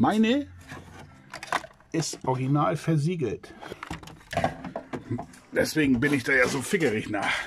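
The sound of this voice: Fairly high pitch from a man, with big pitch swings, vocal fry, a slightly husky edge, a fairly slow pace, and long, frequent pauses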